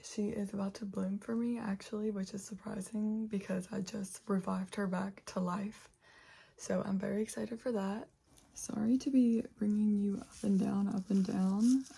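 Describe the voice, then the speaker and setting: A woman with an American accent, medium in pitch and relaxed, somewhat breathy, with a dark, mellow tone and monotone, flat intonation. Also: moderate pace. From West Virginia, Charleston. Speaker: plant YouTuber. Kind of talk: casual chat. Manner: relaxed, chatty.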